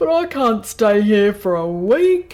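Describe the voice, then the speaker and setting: Putting on a character voice, a woman speaks in a medium pitch at a fairly slow pace. Her pitch swings very widely. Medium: read story.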